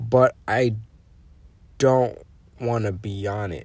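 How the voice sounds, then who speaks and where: A man talks at a very slow pace with a medium pitch. His voice is somewhat breathy, with ordinary pitch variation. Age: 20s. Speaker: podcast host. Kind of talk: casual monologue. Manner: halting.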